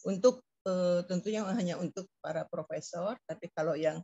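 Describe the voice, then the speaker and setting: A somewhat breathy woman's voice, fairly low in pitch, at a moderate pace. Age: 70s. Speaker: professor. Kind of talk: lecture. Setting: video call. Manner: halting, many fillers.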